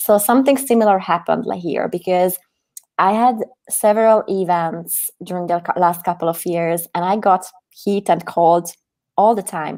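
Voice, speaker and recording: Her dark, mellow tone sits at a medium pitch for a woman. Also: ordinary pitch variation, moderate pace. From Hungary. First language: Hungarian. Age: 30s. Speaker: activist. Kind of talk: interview. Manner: animated.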